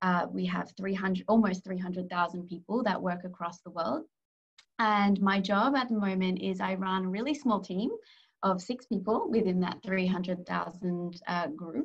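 Somewhat breathy and medium in pitch, a woman speaks with an Australian accent at a moderate pace, with ordinary pitch variation against a quiet background. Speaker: corporate strategy advisor. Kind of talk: career talk interview. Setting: video call. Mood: warm, friendly. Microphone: video call.

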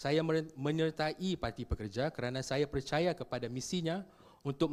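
A man with an unremarkable speaking voice talks at a moderate pace and a fairly high pitch, with ordinary pitch variation. The recording is very clean with a silent background. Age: 30s. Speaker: political candidate, lawyer. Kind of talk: campaign statement. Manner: formal.

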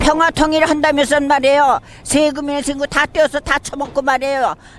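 A woman speaks at a high pitch and a moderate pace. The sound is dry and close with no echo, though noticeable background noise comes through. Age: 70s. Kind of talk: street interview answer.

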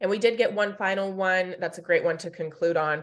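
This woman has a fairly low pitch and speaks with an American accent. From US West, Sacramento area, California; California. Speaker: webinar moderator. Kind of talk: webinar moderation, reading audience questions. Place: home room. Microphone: webcam.

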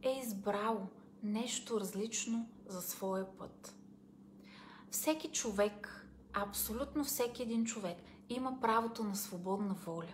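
A woman at a very slow pace, with long, frequent pauses over light background noise. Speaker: self-help coach. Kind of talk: advice talk to camera. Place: home room. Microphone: phone near.

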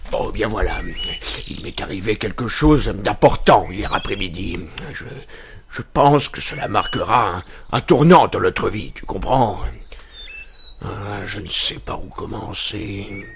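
A man talks at a fairly slow pace, with big swings in loudness. Clear background noise can be heard. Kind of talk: comic western drama. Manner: pompous, reading aloud.

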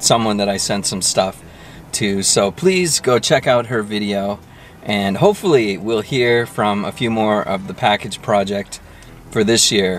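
With an ordinary speaking voice, a man talks at a fairly slow pace in a fairly low pitch with ordinary pitch variation, the sound dry with no echo and light background noise behind him. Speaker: food vlogger. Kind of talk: casual vlog chat. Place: car.

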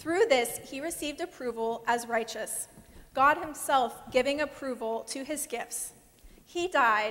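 A woman speaks at a high pitch and a very slow pace. Her loudness swings widely while her pitch variation is ordinary. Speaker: guest preacher. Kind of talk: sermon. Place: church. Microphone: lapel.

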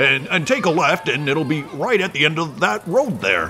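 Using a put-on character voice, a man talks at a moderate pace over clear background noise. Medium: audio drama. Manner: gruff, impatient, hesitant.

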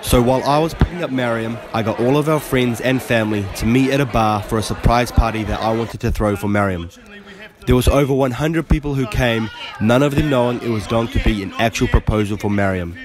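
A man speaks very fast with ordinary pitch variation as noticeable background noise continues. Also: medium pitch for a man. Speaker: fitness vlogger. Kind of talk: vlog narration.

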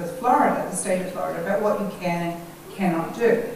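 A woman's voice is heard. The recording has strong room echo and light background noise. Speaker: guest lecturer. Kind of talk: lecture. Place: hall.

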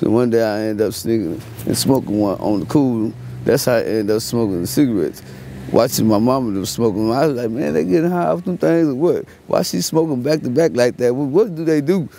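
A man talks at a fairly quick pace with very wide pitch swings. The sound is dry with no echo, over light background noise. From Fort Worth, Texas. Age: 30s. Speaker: homeless man interviewed on street. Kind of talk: street interview. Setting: outdoors. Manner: halting; laid-back. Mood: relaxed storytelling. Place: street.

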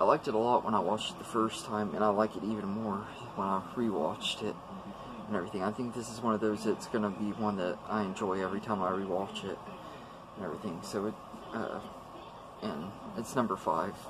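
A man at a fairly quick pace, fairly low in pitch, with fairly even intonation and clear background noise

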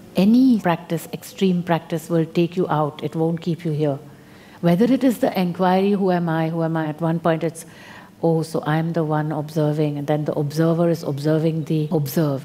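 A woman's dark, mellow tone at a fairly low pitch, with ordinary pitch variation and a moderate pace. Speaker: spiritual teacher. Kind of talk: spiritual talk to an audience. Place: hall.

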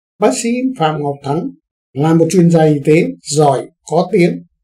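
A man with a fairly high pitch and a dark, mellow tone talks with ordinary pitch variation over a quiet background. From Vietnam. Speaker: news commentary host; news commentator. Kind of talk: current affairs commentary. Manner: formal.

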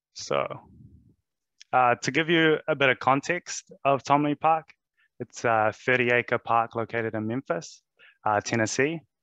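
A man with a New Zealand accent speaks at a fairly slow pace and medium pitch, with long, frequent pauses and ordinary pitch variation. His tone is bright and sharp, with a dry, echo-free sound over a quiet background. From New Zealand (Wellington). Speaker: presenter. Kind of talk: presentation. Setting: video call. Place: home room. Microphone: headset.

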